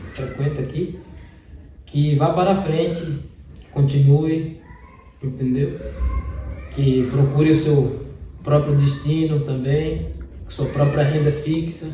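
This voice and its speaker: At a very slow pace, a man with a fairly high pitch speaks with fairly even intonation, long, frequent pauses and big swings in loudness, with audible room echo and noticeable background noise. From Brazil, Palmeiras, Bahia. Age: 20s. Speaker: trekking guide. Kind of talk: interview.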